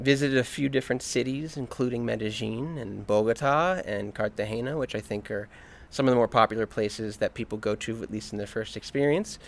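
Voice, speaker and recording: A man with an American accent talks at a fairly quick pace. His pitch is medium, with ordinary variation. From US, Virginia near Washington DC. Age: 30s. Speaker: expat interviewee. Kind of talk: interview. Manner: hesitant with fillers.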